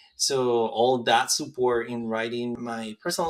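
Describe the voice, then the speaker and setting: This man has a medium-pitched voice with a Spanish accent. He talks at a fairly slow pace on a very clean recording with a silent background. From rural Mexico. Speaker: medical school applicant. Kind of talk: interview.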